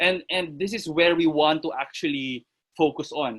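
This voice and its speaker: In a dry, close sound with no echo, a man with a high pitch and a bright, sharp tone speaks at a moderate pace. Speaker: fitness coach. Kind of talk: online lecture. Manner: halting.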